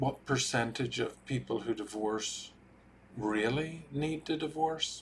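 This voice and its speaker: A man with an Irish accent speaks at a very slow pace. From Ireland. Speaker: marriage and family therapist. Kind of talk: talking-head explainer video.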